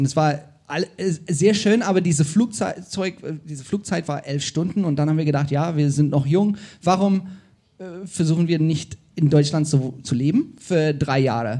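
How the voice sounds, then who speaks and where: A man with an English accent has a dark, mellow, somewhat breathy tone and ordinary pitch variation against a quiet background. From South Africa. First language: English (speaking German). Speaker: podcast host. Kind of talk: live podcast conversation. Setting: stage with audience.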